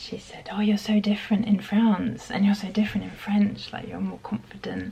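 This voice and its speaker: A woman with a British accent talks at a moderate pace. Noticeable background noise runs behind her. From UK. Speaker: vlogger. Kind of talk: casual chat.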